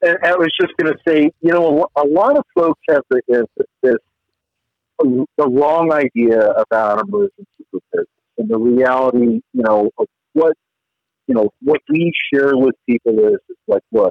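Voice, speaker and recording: A plain, everyday voice moves at a moderate pace with lively intonation and very even loudness. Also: man, fairly high pitch for a man. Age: 50s. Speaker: former special forces soldier and author. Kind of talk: casual interview.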